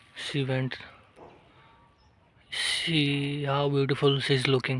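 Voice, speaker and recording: A soft-spoken man with a fairly high voice talks very slowly in a flat monotone over noticeable background noise. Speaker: nature vlogger. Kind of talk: walking vlog narration. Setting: outdoors in forest. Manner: quiet, speaking softly.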